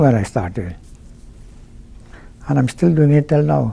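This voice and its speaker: Speaking at a fairly quick pace, a man with a fairly high pitch has a dark, mellow tone that is somewhat breathy. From Guyana. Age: 80s+. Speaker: mosque volunteer treasurer. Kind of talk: interview. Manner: halting.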